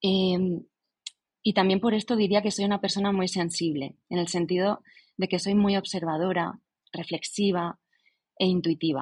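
A somewhat breathy voice at a fairly slow pace, with very even loudness. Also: woman, medium pitch for a woman. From Spain, Alicante province. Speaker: writer. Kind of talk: casual interview chat.

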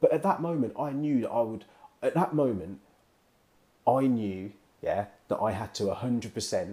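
With a British accent and a dark, mellow tone, a man speaks at a fairly slow pace with medium pitch, lively intonation, and long, frequent pauses. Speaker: podcast co-host. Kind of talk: casual banter. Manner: laid back.

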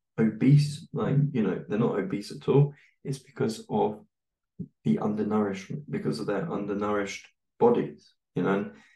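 With a British accent, a man speaks at a medium pitch in a dark, mellow tone with lively intonation. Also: moderate pace. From UK. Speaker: English teacher and podcaster. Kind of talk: casual interview chat.

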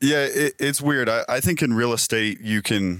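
A man speaks at a moderate pace. He has an ordinary speaking voice. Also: dry, close sound with no echo. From Utah, Sugar House, Salt Lake City. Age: 20s. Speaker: real estate team leader and house flipper. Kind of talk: interview. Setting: in person, on-location studio.

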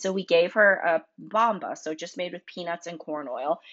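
An ordinary speaking voice from a woman with an American accent, fairly low in pitch, with lively intonation. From North Carolina. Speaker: food business founder and allergy parent. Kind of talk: podcast interview.

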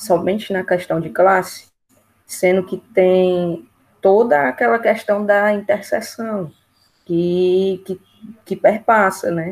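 Very slow speech with ordinary pitch variation and long, frequent pauses. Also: woman, medium pitch for a woman. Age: 20s. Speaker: geography student. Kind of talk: casual chat. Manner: halting, many fillers.

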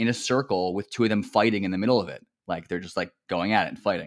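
Speaking at a very fast pace, a man talks with a New Jersey accent. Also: very clean recording, silent background. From central New Jersey. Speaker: mentor and academic counselor. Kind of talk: casual conversational interview. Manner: conversational, laughs often, uses filler words.

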